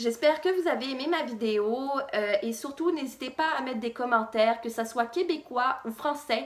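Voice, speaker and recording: The woman's delivery is fairly slow. She uses lively intonation. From France, childhood in Quebec. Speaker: fashion vlogger. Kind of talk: personal vlog story. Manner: casual, hesitant with fillers.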